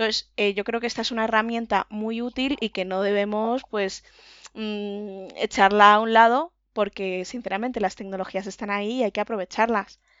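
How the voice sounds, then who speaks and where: With an ordinary speaking voice, a woman talks at a moderate pace, fairly high in pitch and fairly even in intonation. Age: 20s. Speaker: patient, office administrator. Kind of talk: interview testimony.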